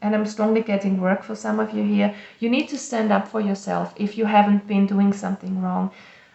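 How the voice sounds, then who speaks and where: A woman speaks at a fairly quick pace with a non-native accent. Noticeable background noise can be heard. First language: not English. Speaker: tarot reader. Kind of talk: tarot reading. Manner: halting, with fillers and self-corrections.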